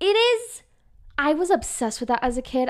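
A woman with a Utah accent, at a moderate pace with ordinary pitch variation, on a very clean recording with a silent background. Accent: Utah, in how she says her G's. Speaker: podcast co-host, student. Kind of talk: casual chat.

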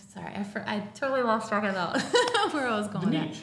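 Noticeable background noise sits under a woman's medium-pitched voice. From North Carolina. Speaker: professional organizer. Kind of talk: casual chat.

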